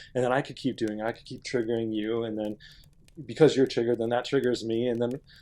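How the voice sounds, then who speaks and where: A man talks at a very fast pace in a medium-pitched, dark, mellow voice with monotone, flat intonation. His loudness swings widely. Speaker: podcast co-host. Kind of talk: casual chat. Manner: halting.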